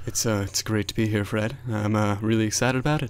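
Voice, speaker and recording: The put-on character voice sounds strained and races at a very fast pace. Its loudness stays very even, and its intonation is fairly even. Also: man, medium pitch for a man. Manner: mock, attempted.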